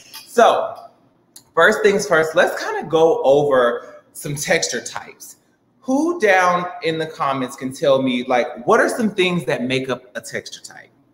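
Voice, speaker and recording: In an American accent, a man talks at a fairly slow pace with audible room echo. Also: big swings in loudness. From Chicago. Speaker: hairstylist and salon owner; hair stylist educator. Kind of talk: tutorial. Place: studio.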